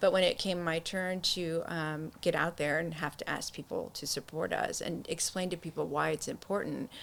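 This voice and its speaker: A woman speaks at a moderate pace. She hardly pauses at all. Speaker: nonprofit co-founder. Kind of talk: interview. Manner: casual conversational; emotional, voice shakes when speaking.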